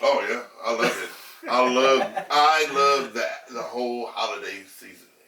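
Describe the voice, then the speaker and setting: A man at a fairly slow pace with big swings in loudness, audible room echo and noticeable background noise. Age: 60s. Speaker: podcast guest. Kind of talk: casual chat. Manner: animated.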